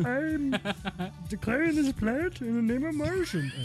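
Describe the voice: Clear music plays in the background behind a put-on character voice pitched fairly high. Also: moderate pace.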